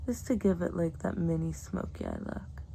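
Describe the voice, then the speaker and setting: A woman speaks softly in a dark, mellow tone that is somewhat breathy. Her delivery is relaxed, with ordinary pitch variation. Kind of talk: ASMR makeup tutorial, casual talk to camera. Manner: soft-spoken, relaxed.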